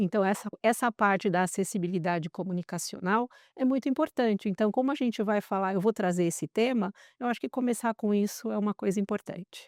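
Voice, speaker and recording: An unremarkable speaking voice from a woman, medium in pitch with ordinary pitch variation, at a fairly quick pace, dry and close with no echo on a very clean recording over a silent background. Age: 60s. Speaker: entrepreneur, former tech executive. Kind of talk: interview podcast.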